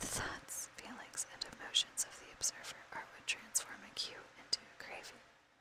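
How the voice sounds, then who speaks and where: A woman whispering at a moderate pace, with big swings in loudness and noticeable background noise. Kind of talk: whispered book reading for ASMR. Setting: recorded with a fan running in the background.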